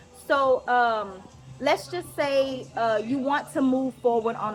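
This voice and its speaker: Music plays in the background behind a voice with ordinary pitch variation. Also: woman. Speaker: vlogger and mindset coaching student. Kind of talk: casual vlog with reading aloud. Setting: outdoors at the beach.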